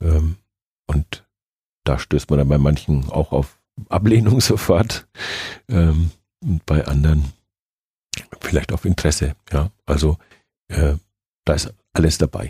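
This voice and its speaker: A man speaks with a very deep, low pitch and ordinary pitch variation at a very slow pace. Long, frequent pauses fill the dry, close sound with no echo. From Nuremberg, Franconia, Germany. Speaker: football club supervisory board chairman. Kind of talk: interview.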